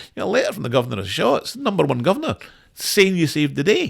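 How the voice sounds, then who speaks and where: Talking at a very fast pace, a man speaks with a Scottish accent. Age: 60s. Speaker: former lawyer. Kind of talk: podcast interview, telling his story. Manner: halting, many repeated words.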